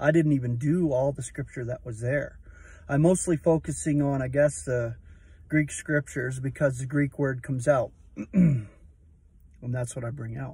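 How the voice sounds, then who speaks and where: At a moderate pace, a man speaks in a dark, mellow, somewhat breathy voice with fairly even intonation and long, frequent pauses, the sound dry with no echo. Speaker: religious vlogger. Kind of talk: casual vlog chat about scripture. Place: car. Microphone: phone near.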